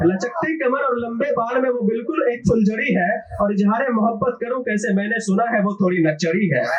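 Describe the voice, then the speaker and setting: Over noticeable background noise, a man talks at an extremely high pitch with ordinary pitch variation and hardly any pauses. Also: moderate pace. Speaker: poet. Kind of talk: live open mic poetry performance. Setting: live audience. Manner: casual, joking asides between verses.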